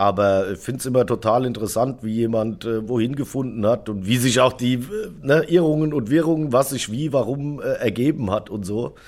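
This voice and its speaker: An ordinary speaking voice from a man, medium in pitch, at a moderate pace with hardly any pauses. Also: ordinary pitch variation. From Germany, Darmstadt (Hesse). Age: 40s. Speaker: drummer. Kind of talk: casual chat.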